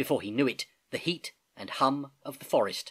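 The background stays quiet. Plain reading aloud carries ordinary pitch variation.

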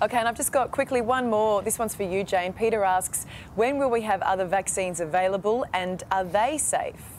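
Light background noise accompanies a woman with an Australian accent and a fairly high pitch, speaking at a fairly quick pace with ordinary pitch variation. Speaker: TV news presenter. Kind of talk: live TV news. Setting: studio. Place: studio. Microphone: lapel.

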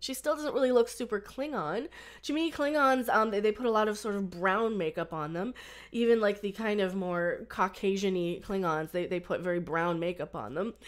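A woman's lively intonation moves at a moderate pace over a quiet background. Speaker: fan commentator. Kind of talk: casual vlog commentary. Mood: torn, mildly critical. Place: home room. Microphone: webcam.

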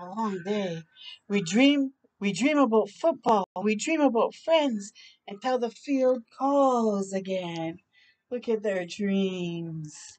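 Speaking at a slow pace, a woman has a medium pitch, a slightly mellow tone and ordinary pitch variation.

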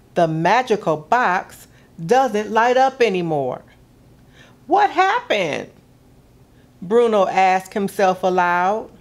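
Very slow speech in a warm, gentle tone with very wide pitch swings. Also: woman. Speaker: museum gallery programs director reading a story. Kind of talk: children's picture-book story time, read aloud. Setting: video broadcast for kids at home. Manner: warm, gentle, expressive storyteller pace. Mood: warm, gently expressive.

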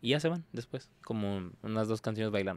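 A man speaks at a fairly low pitch, the sound dry with no echo. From Tijuana, Mexico; Mexico. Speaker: exotic dancer; podcast guest. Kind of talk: casual interview chat. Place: studio. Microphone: studio mic.

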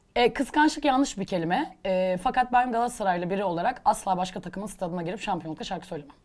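A woman talks at a very fast pace with hardly any pauses, her pitch medium. Her tone is animated and her intonation lively. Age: 30s. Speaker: singer. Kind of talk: casual chat. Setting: studio.

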